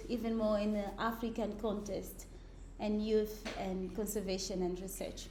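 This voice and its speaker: Audible room echo surrounds a woman speaking at a fairly slow pace with a fairly high pitch. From Mozambique, Beira. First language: Portuguese. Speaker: ecologist. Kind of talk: lecture.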